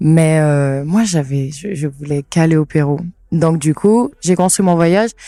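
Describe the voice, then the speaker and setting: The woman has a very deep, low pitch and a dark, mellow tone. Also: ordinary pitch variation, fairly slow pace. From French Guiana, Cayenne. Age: 20s. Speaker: travel content creator. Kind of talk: casual interview. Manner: hesitant, many fillers.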